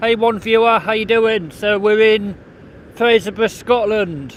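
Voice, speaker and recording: A loud, shouting man, high in pitch, with fairly even intonation and a very slow pace. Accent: West Midlands. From England, Coventry. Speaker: vlogger. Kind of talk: live stream walking commentary. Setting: outdoors on a beach. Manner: loud, shouting over wind.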